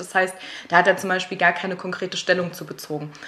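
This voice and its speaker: Against noticeable background noise, a woman speaks in a flat monotone at medium pitch. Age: 20s. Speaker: host's girlfriend, guest interviewer. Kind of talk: casual chat.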